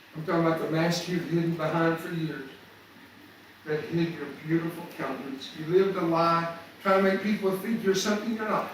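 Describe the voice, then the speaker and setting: A man with an American accent at a fairly quick pace, with audible room echo and noticeable background noise. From US South. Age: 70s. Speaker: motivational speaker. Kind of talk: motivational talk. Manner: animated.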